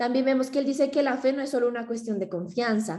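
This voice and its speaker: A dark, mellow female voice with typical rise and fall in pitch. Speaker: theology student presenting. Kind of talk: class presentation. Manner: fast.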